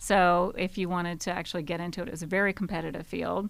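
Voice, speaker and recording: The background is silent and the recording very clean. A woman is heard with an American accent. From Georgia, US South. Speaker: marketing executive. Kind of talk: interview. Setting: studio.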